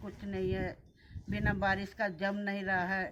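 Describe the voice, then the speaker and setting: Flat, monotone intonation from a female speaker at a medium pitch. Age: 70s. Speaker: former village head. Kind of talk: interview.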